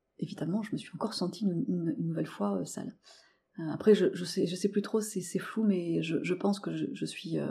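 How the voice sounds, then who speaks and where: In a very clean recording with a silent background, a woman speaks with a dark, mellow tone and vocal fry. Her pace is moderate and her pitch varies an ordinary amount. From rural France. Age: 30s. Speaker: interior decoration worker. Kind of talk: testimony. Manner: halting.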